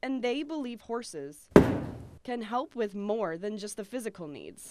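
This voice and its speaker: A woman with a fairly high voice talks at a fairly slow pace with lively intonation, over noticeable background noise. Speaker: TV news reporter. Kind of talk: TV feature news narration.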